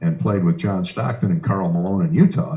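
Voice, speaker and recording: In an American accent, the speaker's dark, mellow, somewhat breathy voice moves at a fairly quick pace with very wide pitch swings. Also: man. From Iowa, US Midwest. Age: 60s. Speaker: sports radio broadcaster. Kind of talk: interview. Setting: video call from home office studio. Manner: hesitant fillers.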